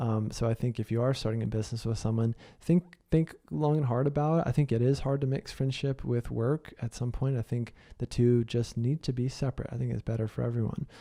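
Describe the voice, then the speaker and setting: The sound is dry and close with no echo as a man with a dark, mellow tone talks at a fairly quick pace with fairly even intonation. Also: medium pitch for a man, quiet background. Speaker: podcast host and business coach. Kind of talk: solo podcast monologue. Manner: fast; casual with many fillers.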